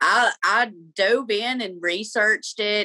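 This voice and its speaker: A woman speaks with an Alabama accent. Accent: Southern US (Alabama). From Alabama, US South. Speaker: reiki practitioner and life coach. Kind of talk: podcast interview.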